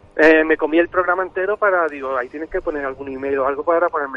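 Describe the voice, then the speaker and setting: A man with a fairly high pitch talks at a very fast pace amid noticeable background noise. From Algeciras, Cádiz, Spain. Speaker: caller, DJ. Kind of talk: testimony.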